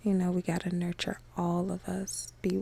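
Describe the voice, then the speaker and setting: The tone is calm and soothing. The pace is fairly slow. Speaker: ASMR podcast host. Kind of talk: calm relaxing podcast talk for sleep and meditation. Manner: calm, relaxing, soothing.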